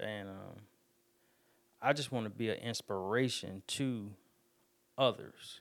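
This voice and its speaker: A man with a Southern US accent speaks with fairly even intonation. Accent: country, Southern US. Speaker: podcast host and barber. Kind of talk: casual solo podcast talk. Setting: home studio. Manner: fast talker, sometimes mumbles.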